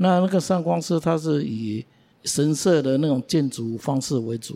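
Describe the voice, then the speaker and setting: A man's fairly high voice with a dark, mellow tone, ordinary pitch variation and a fairly slow pace. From Taiwan, Beitou in Taipei. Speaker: local resident co-host. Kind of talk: casual chat.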